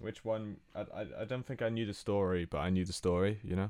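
A man talks in an ordinary speaking voice at a fairly low pitch. The pace is moderate. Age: 20s. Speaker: podcast co-host. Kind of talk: casual chat.

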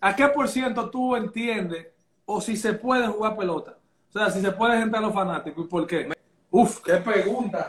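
A man speaks at a moderate pace with a high pitch. His pitch varies in an ordinary way. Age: 30s. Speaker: live stream host taking calls. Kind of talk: casual chat.

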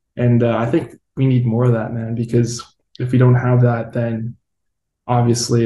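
Somewhat breathy and dark, mellow in tone, a man talks at a moderate pace and medium pitch in a monotone, flat intonation. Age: 20s. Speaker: podcast host. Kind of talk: casual interview.

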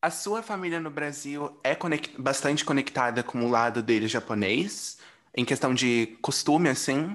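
Over a quiet background, a man speaks at a fairly slow pace. His fairly high voice has lively intonation. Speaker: podcast host. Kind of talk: casual chat. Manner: animated.

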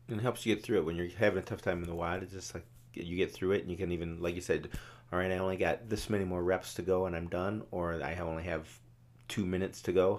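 A man's very deep, low voice at a very fast pace, with fairly even intonation, on a very clean recording with a silent background. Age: 50s. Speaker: CrossFit coach. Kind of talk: casual chat. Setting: studio. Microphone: new mic, close to it.

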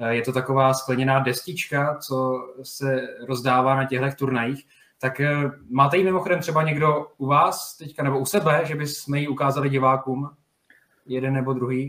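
At a moderate pace and medium pitch, a man speaks in a bright, sharp tone with fairly even intonation. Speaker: podcast host. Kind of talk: casual interview.

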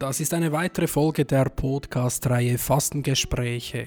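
An ordinary speaking voice from a man, fairly high in pitch, at a moderate pace with fairly even intonation. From Central Switzerland. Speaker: podcast host. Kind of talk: interview conversation. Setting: sacristy of a small chapel.

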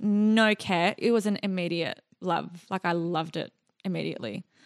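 An Australian accent at a fairly slow pace with fairly even intonation, in a dry, close sound with no echo over a quiet background. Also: woman. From Iraq and Jordan as a child, raised in Australia from about age 10. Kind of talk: casual interview chat.

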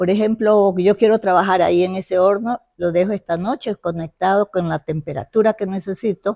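A woman speaks in a dark, mellow tone. The sound is dry and close with no echo, on a very clean recording with a silent background. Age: 90s. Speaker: traditional pastry maker. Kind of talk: casual interview. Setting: at her home.

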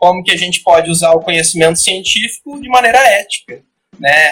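A man with a high pitch and a bright, sharp tone speaks with lively intonation. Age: 20s. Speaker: psychologist. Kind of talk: casual chat. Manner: hesitant, many fillers.

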